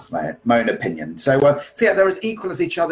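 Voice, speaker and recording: A man talks at a very fast pace. His voice has vocal fry. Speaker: dance teacher. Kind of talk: casual podcast Q&A answers. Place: home room. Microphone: webcam.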